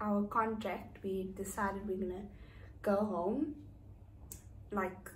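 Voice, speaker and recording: In a room with audible echo, a woman speaks very slowly at a medium pitch, her voice somewhat breathy. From South Africa, East London. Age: 30s. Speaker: vlogger. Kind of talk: casual chat. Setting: indoors, raining outside.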